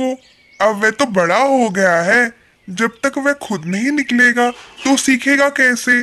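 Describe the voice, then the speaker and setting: This is a cartoonish character voice at a fairly high pitch. It moves at a fairly slow pace. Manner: earnest, pleading.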